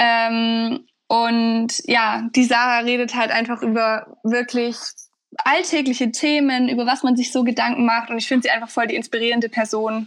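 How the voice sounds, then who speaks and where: Fairly high pitch from a woman, with a monotone, flat intonation and moderate pace. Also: quiet background. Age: 20s. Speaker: university student. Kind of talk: interview. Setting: remote recording from home.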